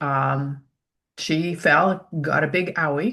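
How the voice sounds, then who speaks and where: Against a quiet background, a woman talks with vocal fry and a bright, sharp tone, her pitch varying in an ordinary way. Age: old. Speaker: essential oil user. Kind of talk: casual chat.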